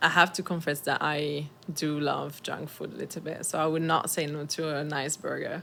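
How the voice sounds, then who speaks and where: With a French accent, a woman talks at a moderate pace in a very deep, low voice that sounds bright and sharp, her intonation monotone and flat. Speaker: communications officer. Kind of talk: interview.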